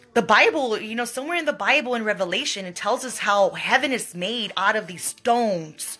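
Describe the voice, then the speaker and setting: A woman's fairly high voice at a fairly quick pace, with lively intonation, big swings in loudness, hardly any pauses and noticeable background noise. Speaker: psychic medium. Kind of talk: live stream talk to viewers.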